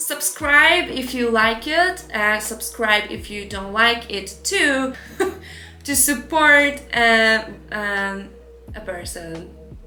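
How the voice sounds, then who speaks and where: Over noticeable background noise and audible room echo, a woman with a non-native accent speaks very slowly, her pitch swinging very widely. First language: not English. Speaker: artist and illustrator, online art teacher. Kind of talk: casual live art show chat. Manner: hesitant, with many fillers.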